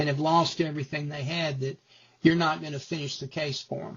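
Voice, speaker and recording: This man has an ordinary speaking voice with a fairly high pitch. His intonation stays fairly even. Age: 60s. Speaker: retired lawyer. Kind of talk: testimonial interview.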